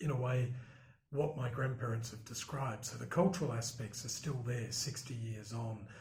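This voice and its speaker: Somewhat breathy, a man with an Australian accent speaks at a moderate pace and medium pitch with ordinary pitch variation, with audible room echo around him. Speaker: broadcast journalist. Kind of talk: interview. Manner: hesitant, many fillers.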